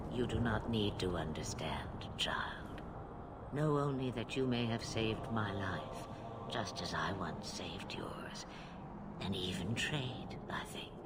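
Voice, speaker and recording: A man's whispered, put-on character voice at a fairly slow pace over loud background noise. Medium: short film. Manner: cryptic, amused, grandiose.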